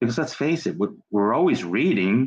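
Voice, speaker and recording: A man is speaking here. He has a New York accent. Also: quiet background. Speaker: children's book author and podcast host. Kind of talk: interview conversation.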